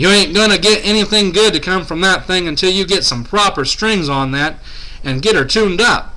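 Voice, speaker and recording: A man puts on a gruff, high-pitched character voice. He talks at a fairly quick pace over noticeable background noise. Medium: read story. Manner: gruff, grumbling.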